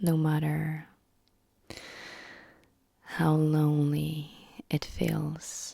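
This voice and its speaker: The speaker is soft-spoken, with a gentle tone. The pace is very slow, broken by long, frequent pauses. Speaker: emotional wellness content creator. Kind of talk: soft-spoken personal story. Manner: soft-spoken, gentle.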